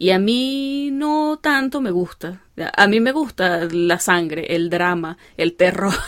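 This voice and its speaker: Speaking at a very slow pace in an Andean Venezuelan accent, a woman at medium pitch swings very widely in pitch. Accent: Andean Venezuelan (gocho). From Venezuelan Andes. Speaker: podcast host and doctor. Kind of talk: interview.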